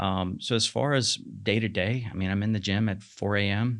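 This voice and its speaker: In a quiet background, a man with a plain, everyday voice speaks at a fairly slow pace and a fairly low pitch. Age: 40s. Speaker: marketing manager and fitness coach. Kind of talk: podcast interview.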